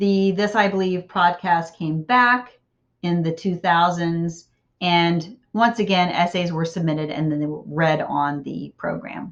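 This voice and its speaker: A woman speaks fairly slowly in a normal speaking voice, her fairly low pitch moving with ordinary variation. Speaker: college writing instructor. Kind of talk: recorded lecture.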